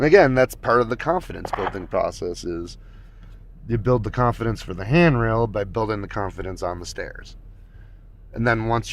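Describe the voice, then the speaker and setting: Talking at a fairly quick pace, a man uses a fairly low pitch. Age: 50s. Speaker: skateboarding vlogger. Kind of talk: casual livestream talk. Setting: livestream with camera mic. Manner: casual, halting with fillers.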